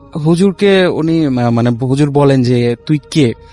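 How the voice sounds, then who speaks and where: Over background music, a man with a fairly high pitch talks with lively intonation in a dry, close sound with no echo. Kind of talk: telling a ghost story on a live horror radio show.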